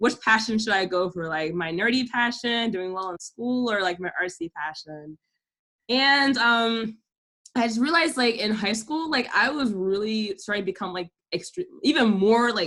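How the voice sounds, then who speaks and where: Her fairly high voice has a bright, sharp tone, and the woman speaks with lively intonation. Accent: Southern Californian. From Delaware, US. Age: 20s. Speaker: YouTuber. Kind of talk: casual chat. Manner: fast, filler-heavy.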